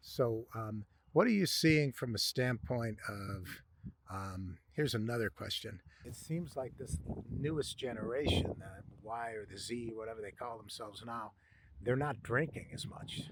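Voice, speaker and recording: A man talks at a fairly slow pace and a medium pitch. His voice is somewhat breathy, with big swings in loudness. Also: ordinary pitch variation. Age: 60s. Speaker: podcast host. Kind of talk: interview.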